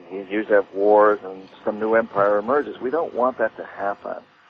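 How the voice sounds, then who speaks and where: A man speaks fairly quickly at a fairly low pitch. Noticeable background noise is present. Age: 60s. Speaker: author and activist. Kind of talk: interview. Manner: hesitant, repeats words.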